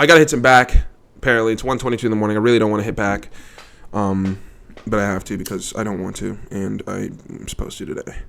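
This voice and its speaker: The man's voice sits fairly low. He talks very fast, and his pitch shifts in an ordinary way. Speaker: vlogger, insurance salesman. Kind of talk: casual monologue vlog. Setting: living room at home.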